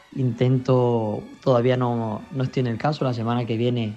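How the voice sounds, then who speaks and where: A man speaking in a monotone, flat intonation with music in the background. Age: young. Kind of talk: radio interview answer.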